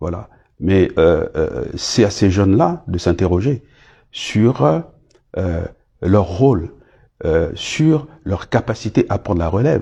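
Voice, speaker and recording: A man's dark, mellow, somewhat breathy voice, fairly low in pitch, with very wide pitch swings, a very slow pace and long, frequent pauses against a quiet background. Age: 60s. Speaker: former government minister. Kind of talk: interview. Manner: halting, many hesitations.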